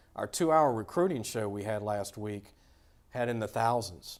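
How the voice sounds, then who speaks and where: In a Louisiana accent, a man speaks at a moderate pace and medium pitch with ordinary pitch variation. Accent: Louisiana Southern US. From Louisiana, Baton Rouge area. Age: 50s. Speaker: sports podcast host. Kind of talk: casual interview chat.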